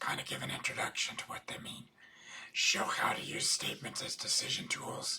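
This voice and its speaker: A man whispers over noticeable background noise. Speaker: accountant and business coach. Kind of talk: webinar lecture.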